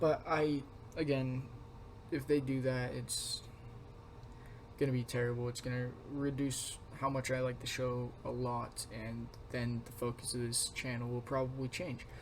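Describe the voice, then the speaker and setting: A man speaks quietly at a moderate pace and medium pitch, his intonation flat and monotone, with long, frequent pauses. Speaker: youtuber. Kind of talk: casual vlog commentary. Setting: home room with roommates nearby. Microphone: poor recording quality.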